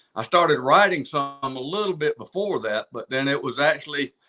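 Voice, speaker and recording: A man's fairly high-pitched voice at a moderate pace, with ordinary pitch variation, a dry, close sound with no echo, and music in the background. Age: 60s. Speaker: singer-songwriter. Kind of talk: casual chat.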